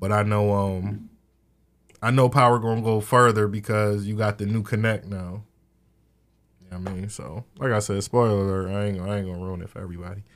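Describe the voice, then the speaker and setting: Over a silent background in a very clean recording, a man with a normal speaking voice talks at a fairly quick pace, his pitch fairly low and his intonation fairly even. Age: 30s. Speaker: podcast co-host. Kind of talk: casual chat. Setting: studio.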